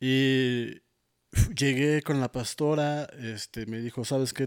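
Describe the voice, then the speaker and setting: The recording is very clean, with a silent background and a dry, close sound free of echo. A man speaks in a plain, everyday voice at medium pitch with fairly even intonation. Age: 30s. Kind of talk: testimony. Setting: studio.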